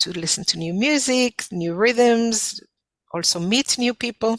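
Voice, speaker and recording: Speaking fairly slowly with an Israeli accent, a woman shows ordinary pitch variation in a dry, close sound with no echo. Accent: foreign (Israeli). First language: Hebrew. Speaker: folk dance instructor. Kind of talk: interview. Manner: halting, many fillers.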